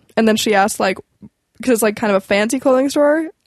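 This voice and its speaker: A woman with a western Canadian accent, fairly high pitch and lively intonation, in a dry, close sound with no echo. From Canadian prairies, Alberta. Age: 20s. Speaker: comedian and restaurant server. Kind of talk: casual chat, telling work stories. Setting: studio.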